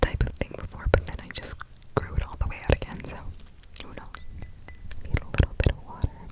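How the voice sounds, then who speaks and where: Whispering, breathy and at a fairly quick pace, with long, frequent pauses, big swings in loudness, and noticeable background noise. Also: woman. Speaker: ASMR content creator. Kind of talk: whispered ASMR ramble. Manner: whispered, soft, breathy.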